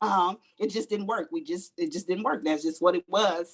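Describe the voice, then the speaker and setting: Using an ordinary speaking voice, a woman with an American accent talks at a medium pitch with lively intonation. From Los Angeles, South Central. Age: 50s. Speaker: life coach and postal manager. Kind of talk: interview.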